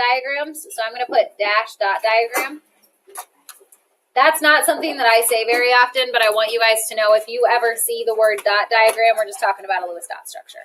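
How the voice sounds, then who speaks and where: At a fairly quick pace, a woman speaks in a plain, everyday voice, fairly high in pitch with ordinary pitch variation and big swings in loudness. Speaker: chemistry teacher. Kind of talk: classroom lecture.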